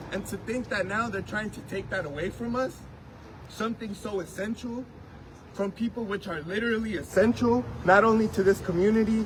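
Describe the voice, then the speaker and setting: Noticeable background noise can be heard. The speech moves at a moderate pace. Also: man. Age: 20s. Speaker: DACA recipient activist. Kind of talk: testimony.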